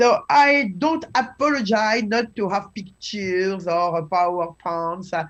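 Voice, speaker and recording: In a French accent, a woman talks at a very slow pace. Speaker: scholar of Chinese classical texts. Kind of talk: lecture. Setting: live webinar. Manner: halting.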